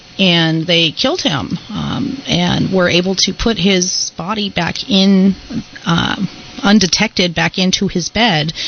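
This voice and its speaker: Fairly slow speech with ordinary pitch variation over noticeable background noise. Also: woman, medium pitch for a woman. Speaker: ghost tour guide. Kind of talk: radio interview answer.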